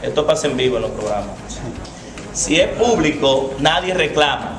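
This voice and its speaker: Against noticeable background noise and audible room echo, a man speaks at a fairly high pitch with ordinary pitch variation. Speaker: teacher speaking at a public forum on traffic law. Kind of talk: public talk. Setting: public event without microphone. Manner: loud.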